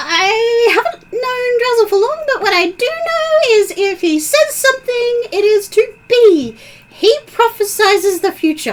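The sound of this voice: A squeaky, put-on character voice at an extremely high pitch. It moves at a fairly slow pace.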